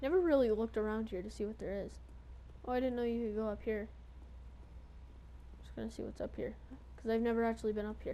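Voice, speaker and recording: In a room with audible echo, the delivery runs at a very fast pace broken by long, frequent pauses. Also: woman. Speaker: gaming video creator. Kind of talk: let's play commentary. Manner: casual, filler words.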